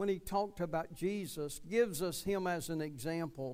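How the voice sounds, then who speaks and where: An unremarkable speaking voice from a man, with ordinary pitch variation, at a moderate pace. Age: 60s. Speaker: pastor. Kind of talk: sermon. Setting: church.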